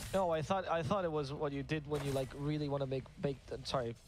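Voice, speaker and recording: A man talks at a very fast pace in a non-native accent. His pitch is fairly high, with ordinary variation. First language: not English. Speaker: esports caster. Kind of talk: live commentary.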